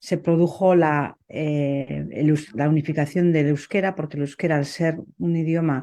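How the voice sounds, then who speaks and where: Over a quiet background, a woman with a Basque accent speaks fairly slowly in a very deep, low voice, her dark, mellow tone held in a flat monotone. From Basque Country, Spain. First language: Basque (speaking Spanish). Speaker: poet. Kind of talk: interview conversation. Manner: hesitant, many fillers.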